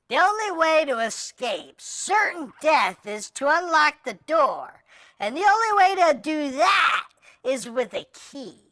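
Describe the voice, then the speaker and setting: In a high-pitched, put-on character voice, the speaker goes at a fairly slow pace. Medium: audio drama. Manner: nervous, rambling.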